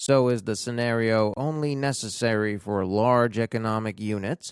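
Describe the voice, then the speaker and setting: At a fairly slow pace, a man speaks with a medium pitch and ordinary pitch variation, the sound dry and close with no echo on a very clean recording with a silent background. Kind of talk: audiobook reading of an English-language book, read aloud for language learners. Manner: soft-spoken, ASMR-style reading.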